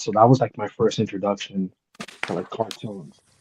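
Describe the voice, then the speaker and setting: A dark, mellow tone at a fairly quick pace. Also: man, dry, close sound with no echo. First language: Spanish. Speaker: hat collector panelist. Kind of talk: casual chat.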